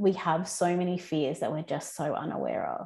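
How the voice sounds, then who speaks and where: A woman speaks in a normal speaking voice with fairly even intonation. The recording is very clean, with a silent background. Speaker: podcast host. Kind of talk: casual interview chat.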